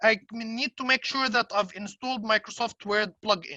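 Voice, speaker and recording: Speaking with an Arabic accent at a moderate pace, a woman has a fairly high pitch, ordinary pitch variation and a bright, sharp tone, recorded dry and close with no echo. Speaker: software trainer. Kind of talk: tutorial. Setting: webinar. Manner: hesitant, many fillers.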